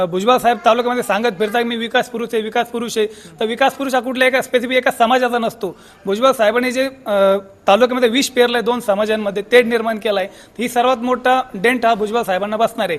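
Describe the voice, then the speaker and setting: Here a man talks at an extremely high pitch. His intonation is fairly even. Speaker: local villager. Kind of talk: street interview.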